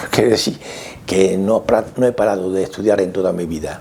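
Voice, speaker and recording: A man talks fairly quickly, and noticeable background noise can be heard throughout. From Andalusia, Córdoba. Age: 70s. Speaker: sociologist. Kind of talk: interview testimony. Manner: halting, with many fillers.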